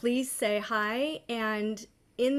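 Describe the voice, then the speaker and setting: A woman talks in an animated tone. Her pitch sits fairly high. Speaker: psychotherapist. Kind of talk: live stream talk with chat.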